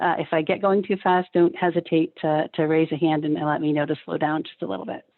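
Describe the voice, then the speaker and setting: Talking at a fairly quick pace with hardly any pauses, a woman has a very deep, low pitch with ordinary pitch variation. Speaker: social worker and health insurance director. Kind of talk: webinar presentation. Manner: fast; casual.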